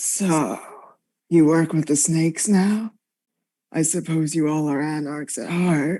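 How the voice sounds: A woman's put-on character voice, gravelly and raspy, very deep and low, with long, frequent pauses on a very clean recording against a silent background. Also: fairly slow pace.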